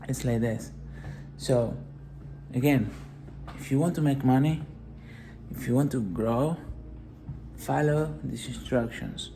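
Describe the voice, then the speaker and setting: The talking goes at a fairly slow pace, with a non-native accent. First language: not English. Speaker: motivational business vlogger. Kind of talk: motivational talk.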